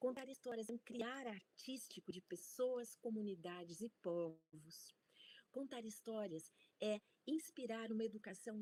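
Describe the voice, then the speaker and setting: A dark, mellow tone with lively intonation moves at a fairly slow pace in a dry, close sound with no echo. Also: woman. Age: 60s. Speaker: university researcher and storytelling scholar. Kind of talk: conference talk.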